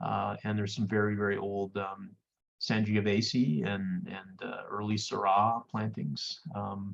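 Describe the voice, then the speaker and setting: A man with a French Canadian accent, a fairly low pitch, fairly even intonation and a fairly slow pace. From Quebec, Canada. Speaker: winemaker and vineyard owner. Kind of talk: interview on a virtual wine tasting. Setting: video call.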